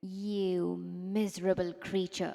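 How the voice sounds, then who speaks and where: Using a put-on character voice, a woman growls at a medium pitch in a monotone, flat intonation. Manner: growling.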